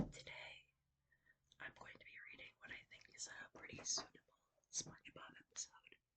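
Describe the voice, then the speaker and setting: A woman whispers. She keeps a moderate pace. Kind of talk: casual talk to camera. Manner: whispered.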